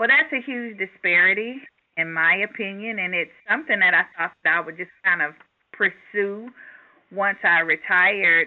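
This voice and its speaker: Speaking at a moderate pace, a woman with an unremarkable speaking voice and a medium pitch uses lively intonation. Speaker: school founder and educator. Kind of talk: interview.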